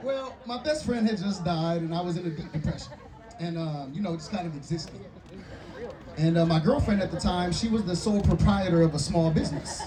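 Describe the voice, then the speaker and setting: An animated speaker with an American accent talks at a fairly quick pace with ordinary pitch variation, amid audible room echo and noticeable background noise. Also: man, high pitch for a man. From Michigan, Kalamazoo. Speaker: storyteller in addiction recovery. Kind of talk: comedic storytelling to live audience.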